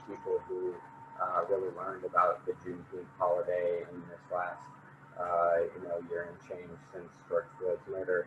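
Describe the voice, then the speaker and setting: Fairly slowly, a man is talking. He has an American accent. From US, small town. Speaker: panelist. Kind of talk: panel discussion.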